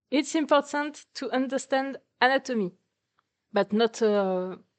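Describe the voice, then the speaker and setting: Against a quiet background, a woman with a non-native accent speaks fairly slowly in a high pitch with lively intonation. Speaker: artist. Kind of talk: presentation talk, unscripted. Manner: hesitant, many fillers.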